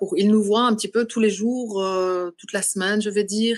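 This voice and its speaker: Against a quiet background, a woman with a Belgian accent speaks with ordinary pitch variation. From Belgium. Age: 40s. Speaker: adoptee. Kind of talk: podcast interview. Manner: halting.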